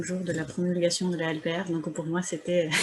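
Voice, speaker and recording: A soft-spoken woman talks at a fairly low pitch. Her intonation is monotone and flat, and her pace is fairly slow. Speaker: academic discussant. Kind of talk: seminar commentary. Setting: video call.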